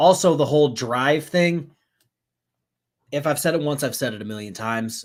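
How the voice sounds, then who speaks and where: Doing a put-on character voice, a man sounds raspy and fairly high-pitched, moving at a moderate pace with lively intonation, big swings in loudness, and long, frequent pauses. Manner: talking fast.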